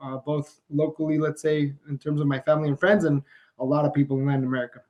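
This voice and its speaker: Speaking very fast with a Spanish accent, a man keeps his fairly high voice in fairly even intonation. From Mexico. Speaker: business founder. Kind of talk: podcast interview.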